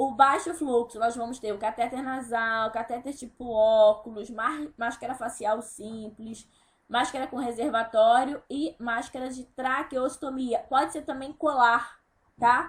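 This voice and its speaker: Speaking at a fairly slow pace, a woman keeps her high voice at a fairly even intonation. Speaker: nursing teacher. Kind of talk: recorded online lecture. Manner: deliberately slowing down.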